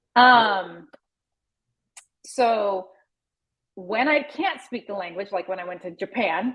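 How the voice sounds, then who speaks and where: A woman with an American accent speaks very slowly at a medium pitch, her lively intonation broken by long, frequent pauses. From US Pacific Northwest, Seattle. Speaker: travel podcaster. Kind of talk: interview. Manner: casual, chatty with many fillers.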